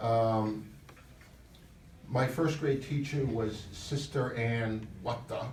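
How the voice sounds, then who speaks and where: Very slow, with long, frequent pauses, from a man at medium pitch in a New York accent, fairly even in intonation, with audible room echo. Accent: New York (Bronx). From New York, the Bronx. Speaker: author. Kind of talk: award acceptance speech.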